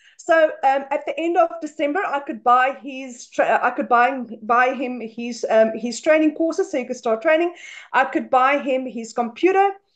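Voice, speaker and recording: A woman with a South African accent speaks at a moderate pace and high pitch. She hardly pauses, and the background is quiet. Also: ordinary pitch variation. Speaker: stay-at-home mother; webinar guest. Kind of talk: testimony. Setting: video call. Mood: emotional, proud, grateful. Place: home room. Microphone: webcam.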